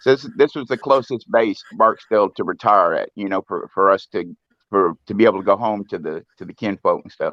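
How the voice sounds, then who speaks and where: Speaking at a fairly quick pace with a slight Southern US accent, a man lets his loudness swing widely. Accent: slight Southern twang, fairly proper. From US South, Louisiana. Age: 50s. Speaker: live stream guest, musician. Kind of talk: casual chat. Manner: halting, repeats words.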